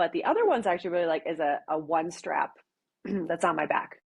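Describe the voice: A woman with a Wisconsin accent and a fairly low pitch.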